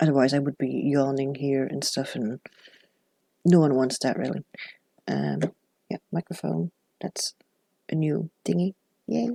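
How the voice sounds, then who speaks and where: Mumbling at a fairly slow pace with long, frequent pauses, a woman speaks in a very deep, low voice with lively intonation, in dry, close sound with no echo. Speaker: journaling YouTuber. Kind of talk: casual vlog. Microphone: new clip-on microphone, no gain or noise suppression.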